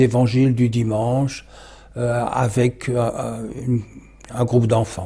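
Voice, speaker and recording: The man's voice is medium in pitch, dark and mellow, and somewhat breathy. He talks at a very slow pace. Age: 80s+. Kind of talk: interview, autobiographical recollection. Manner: halting, many hesitations.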